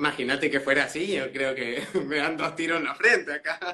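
This man has a plain, everyday voice pitched fairly high. He talks at a fairly slow pace with ordinary pitch variation. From Mendoza, Argentina. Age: 20s. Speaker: drag queen. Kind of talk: casual interview. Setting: video call livestream.

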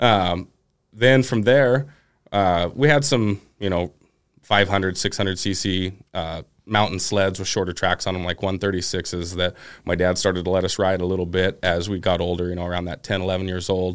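On a very clean recording with a silent background, a man with an American accent speaks at a moderate pace in a very deep, low pitch, with ordinary pitch variation. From Oregon, US Pacific Northwest. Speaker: snowmobiler. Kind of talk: casual chat.

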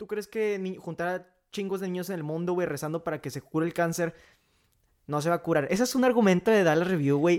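A man with a high-pitched voice talks at a fairly quick pace, his pitch varying in an ordinary way. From Mexico, Coahuila. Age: 18. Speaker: podcast co-host. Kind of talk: casual chat; podcast intro.

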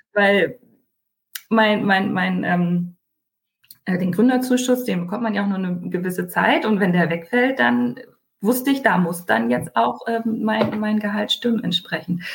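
A woman's somewhat breathy voice at medium pitch, fairly slow, with very wide pitch swings and long, frequent pauses. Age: 30s. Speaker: online retailer, mother. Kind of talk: podcast interview.

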